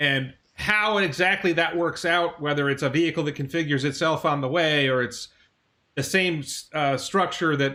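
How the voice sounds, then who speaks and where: A bright, sharp tone moves at a fairly quick pace with fairly even intonation. The recording is very clean, with a silent background. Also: man. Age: 50s. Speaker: stock channel host. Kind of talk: interview. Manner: fast.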